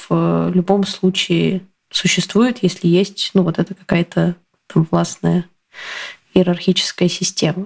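The woman's voice sits at a fairly low pitch. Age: 30s. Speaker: telegram channel author and coach. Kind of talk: casual chat.

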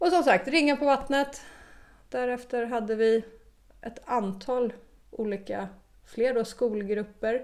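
Speaking at a fairly slow pace with a high pitch, a woman shows ordinary pitch variation and takes long, frequent pauses. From Stockholm, Sweden. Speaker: equine-assisted learning entrepreneur. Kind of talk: interview. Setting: on location at guest's farm.

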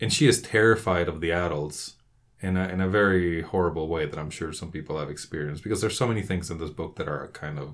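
In a Spanish accent, a man speaks at a very fast pace with a very deep, low pitch. The recording is very clean, with a silent background. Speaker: podcast co-host, book club. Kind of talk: casual book discussion.

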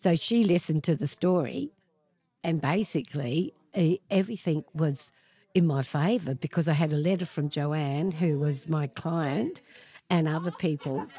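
Against a quiet background, a woman with an Australian accent and a very deep, low pitch speaks in a dark, mellow tone at a moderate pace with ordinary pitch variation. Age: 70s. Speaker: author. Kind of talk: interview.

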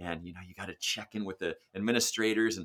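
A man with an American accent speaks in a fairly low yet bright, sharp voice. The recording is very clean, with a silent background. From California, Sacramento. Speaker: music education professor and band director. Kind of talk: interview.

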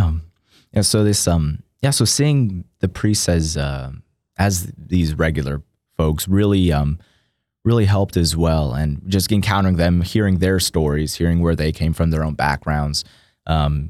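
Over a silent background in a very clean recording, a man with an American accent speaks fairly slowly in a very deep, low pitch, with very even loudness and ordinary pitch variation. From Texas, Austin. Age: 20s. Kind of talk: interview. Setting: studio.

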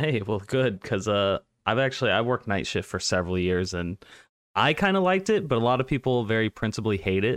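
Speaking with an American accent in a plain, everyday voice, a man talks at a fairly quick pace and fairly low pitch with ordinary pitch variation, the background quiet. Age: 20s. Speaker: podcast host. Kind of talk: casual interview chat.

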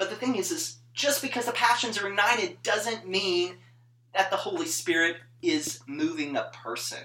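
A man's raised, projected voice, high in pitch with very wide pitch swings, over noticeable background noise. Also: moderate pace. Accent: American. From northern Mississippi (US South). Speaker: church music PhD student. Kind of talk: casual chat.

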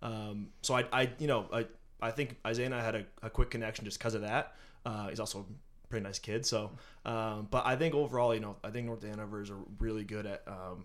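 A man with an American accent talks fairly quickly in a normal speaking voice. His pitch is medium and his intonation fairly even. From eastern Massachusetts. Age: 20s. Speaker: finance and HR worker. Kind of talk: casual interview.

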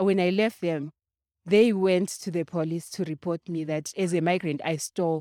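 On a very clean recording with a silent background, a woman speaks at a moderate pace in a fairly low, dark, mellow voice with fairly even intonation, the sound dry and close with no echo. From Zimbabwe. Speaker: domestic worker and organizer. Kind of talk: interview. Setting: shopping center.

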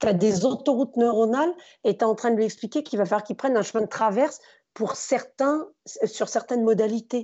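Here is a woman with a plain, everyday voice, fairly high in pitch. She speaks at a fairly quick pace with ordinary pitch variation. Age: 40s. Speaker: former teacher turned stage performer and speaker. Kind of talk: casual interview.

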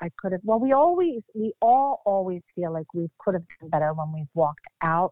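A woman in an American accent, an ordinary speaking voice at medium pitch with lively intonation. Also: moderate pace, hardly any pauses. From Philadelphia, Pennsylvania. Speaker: actress.

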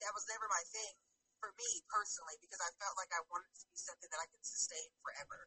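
In an American accent, a woman talks at a very fast pace and a medium pitch with ordinary pitch variation. Her loudness swings widely. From California. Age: 30s. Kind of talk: casual interview chat.

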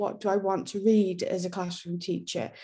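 Against a quiet background, a woman with a North Welsh accent speaks at a moderate pace. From North Wales. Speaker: teacher and education author. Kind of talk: interview.

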